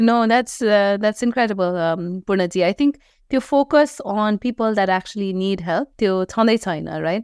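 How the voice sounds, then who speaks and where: A woman with a Nepali accent speaks at a medium pitch and moderate pace with ordinary pitch variation, music playing in the background. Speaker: podcast host. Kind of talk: interview questions.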